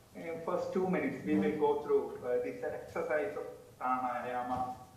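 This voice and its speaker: A man is heard with audible room echo. Noticeable background noise runs beneath him. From India. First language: not English. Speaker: doctoral researcher presenting on mysticism. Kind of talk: lecture with guided breathing exercise.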